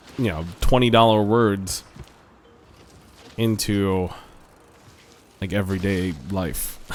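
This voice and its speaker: Amid audible room echo, a man with a fairly low pitch speaks at a very slow pace, his intonation fairly even and his pauses long and frequent. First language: not English. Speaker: gaming YouTuber. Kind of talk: casual gameplay commentary. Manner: halting, many fillers and repeats.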